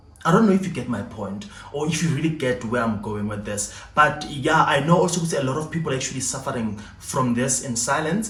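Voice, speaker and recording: A man speaks at a fairly quick pace with hardly any pauses, his fairly high pitch carried by lively intonation, while music plays in the background and room echo is audible. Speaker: YouTuber. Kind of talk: storytime monologue. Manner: halting.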